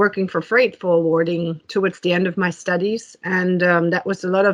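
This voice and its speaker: A woman with a German accent, fairly low in pitch, with monotone, flat intonation. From Germany. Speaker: tech executive. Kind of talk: interview. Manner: hesitant, many fillers.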